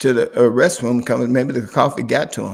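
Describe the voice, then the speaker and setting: A man is speaking. His pitch is medium. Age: 60s. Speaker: pastor and channel host. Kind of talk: casual interview chat. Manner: halting, many repeated words.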